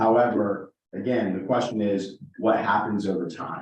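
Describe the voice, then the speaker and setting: Fairly low in pitch, a man speaks with an ordinary speaking voice. His pace is fairly slow and his intonation fairly even. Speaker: financial advisor presenting investments. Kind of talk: presentation to a town board.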